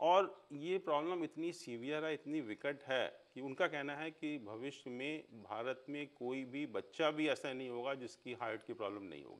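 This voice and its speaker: A man speaks in an ordinary speaking voice, pitched fairly high, with ordinary pitch variation. His loudness swings widely, and he hardly pauses at all. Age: 60s. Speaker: astrologer. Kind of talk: interview.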